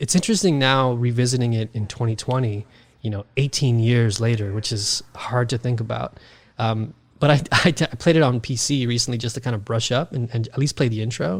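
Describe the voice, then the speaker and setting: On a very clean recording with a silent background, a somewhat breathy man talks at a fairly quick pace and medium pitch, with ordinary pitch variation and an American accent. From New York City (Queens). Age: 30s. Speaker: podcaster, gaming guest. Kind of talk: casual chat. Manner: animated.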